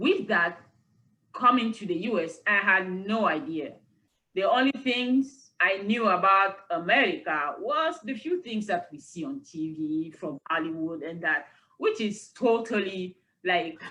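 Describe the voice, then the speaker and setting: Speaking at a fairly slow pace, a woman with a bright, sharp tone and a medium pitch uses lively intonation and big swings in loudness. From Cameroon. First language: French. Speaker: university lecturer. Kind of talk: interview conversation.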